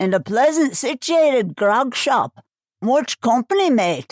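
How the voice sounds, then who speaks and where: Dry and close with no echo, a woman uses a put-on character voice pitched high, swinging very widely in pitch at a fairly slow pace. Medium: read story. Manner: rough, coarse, commanding.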